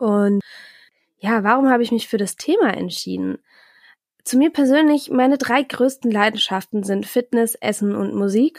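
In a very clean recording with a silent background and a dry, close sound with no echo, a woman with a fairly high voice and ordinary pitch variation speaks at a moderate pace with long, frequent pauses. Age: 20s. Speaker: podcast host, master's student. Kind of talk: solo podcast monologue. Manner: chatty, with filler sounds.

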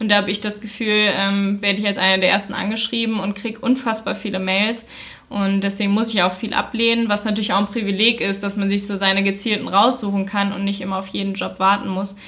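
The speech comes at a very fast pace with monotone, flat intonation against noticeable background noise. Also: woman, medium pitch for a woman. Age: 20s. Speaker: influencer. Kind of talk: interview.

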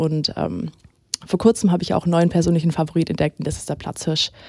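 A woman's fairly low, dark and mellow voice in a monotone, flat delivery. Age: 20s. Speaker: web portal volunteer. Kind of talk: casual interview.

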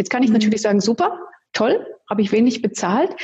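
A woman speaks in a fairly high pitch with ordinary pitch variation. Hers is a plain, everyday voice. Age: 50s. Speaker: family law attorney. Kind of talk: interview.

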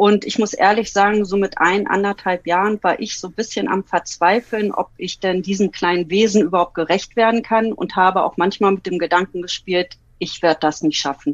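This is a normal speaking voice with fairly even intonation. It moves at a moderate pace with hardly any pauses. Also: woman, medium pitch for a woman. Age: 40s. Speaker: dog owner and teacher. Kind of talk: casual interview.

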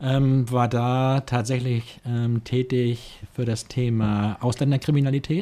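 A man with a medium pitch and a dark, mellow tone speaks very slowly, with hardly any pauses. His loudness stays very even and his intonation fairly even. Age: 60s. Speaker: police officer and local politician. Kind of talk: interview. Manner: hesitant, many filler sounds.

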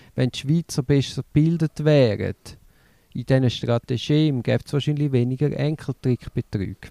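In a dry, close recording with no echo, a man speaks with a dark, mellow tone. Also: medium pitch for a man, ordinary pitch variation, moderate pace. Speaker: podcast co-host. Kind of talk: casual chat.

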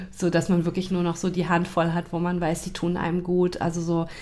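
This woman speaks with a fairly low voice. Her pitch sits on the lower side for a woman. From Hesse, Germany (Taunus near Frankfurt). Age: 40s. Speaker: grief counselor and children's book author. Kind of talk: casual interview chat.

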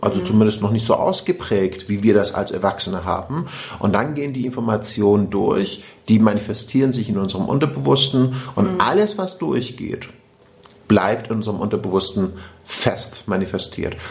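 Ordinary pitch variation amid noticeable background noise. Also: man, fairly low pitch for a man, moderate pace. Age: 40s. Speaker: podcast host and personal development coach. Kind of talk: casual interview conversation.

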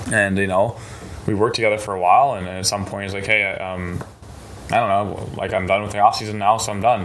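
Amid noticeable background noise and audible room echo, a man with a fairly low voice talks at a very fast pace in a monotone, flat delivery. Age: 20s. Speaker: powerlifting coach. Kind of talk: casual interview.

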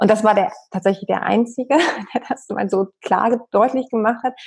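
A woman speaks at a fairly high pitch in a normal speaking voice, with ordinary pitch variation. The sound is dry and close, with no echo. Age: 40s. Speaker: professor of human resources, expat partner. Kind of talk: interview, explanatory. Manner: many filler sounds (ähm).

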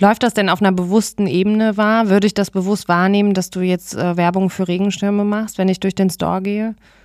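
The recording is very clean, with a silent background and a dry, close sound with no echo. The delivery is monotone and flat, fairly quick, with hardly any pauses. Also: woman, medium pitch for a woman. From Remscheid, Germany. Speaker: podcast host. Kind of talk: interview.

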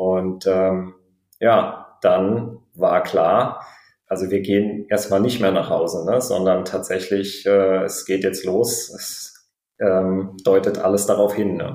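The voice has a dark, mellow tone and monotone, flat intonation, moving at a very slow pace with audible room echo. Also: man, fairly low pitch for a man. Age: 30s. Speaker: pilot and new father. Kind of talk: interview, personal birth story. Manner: halting, many fillers.

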